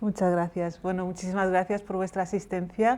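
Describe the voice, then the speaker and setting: A woman in a Moroccan accent, with monotone, flat intonation. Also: very clean recording, silent background. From Morocco, Rif (Berber family), raised in Catalonia. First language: Riffian Berber (speaking Spanish). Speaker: novelist. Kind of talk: book presentation talk. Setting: book fair stage with audience.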